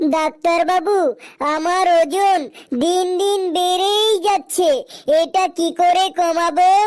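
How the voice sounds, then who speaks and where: A cartoonish character voice at an extremely high pitch and a very slow pace. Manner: naive, pleading.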